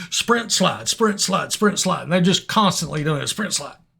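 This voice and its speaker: High-pitched for a man, his raised, projected voice has a bright, sharp tone. His pitch swings very widely over a very clean recording with a silent background. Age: 60s. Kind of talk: humorous gaming commentary. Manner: hesitant, conversational.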